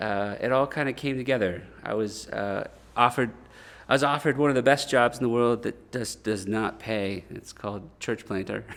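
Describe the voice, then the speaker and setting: The speaker has a Midwestern accent and ordinary pitch variation, captured in a very clean recording with a silent background. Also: man, medium pitch for a man, moderate pace. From US Midwest / South (St. Louis, Memphis, Northern Virginia). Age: 30s. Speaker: musician and church planter. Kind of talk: interview. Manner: halting, many fillers.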